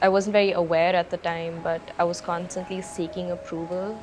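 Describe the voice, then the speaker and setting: Music runs behind a woman who speaks in a monotone with flat intonation. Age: 20s. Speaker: documentary interviewee. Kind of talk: testimony.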